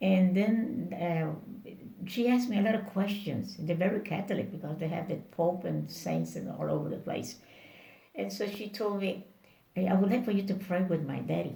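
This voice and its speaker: With a Spanish accent, a woman speaks at a moderate pace. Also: medium pitch for a woman, ordinary pitch variation. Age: 80s+. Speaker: Bible worker and missionary. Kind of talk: interview answer.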